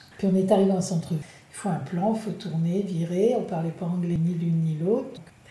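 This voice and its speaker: Against audible room echo, a woman with medium pitch speaks at a moderate pace. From France, La Rochelle. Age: 60s. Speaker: retiree traveller. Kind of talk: interview testimony.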